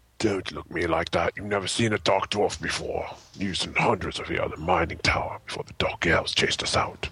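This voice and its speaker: A man puts on a raspy character voice at a fairly low pitch. He moves at a fairly quick pace. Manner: grumpy.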